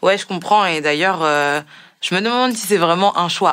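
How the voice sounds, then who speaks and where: A woman speaks in an ordinary speaking voice. Her pitch is fairly low, with ordinary pitch variation. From Guadeloupe. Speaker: podcast host. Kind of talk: podcast interview.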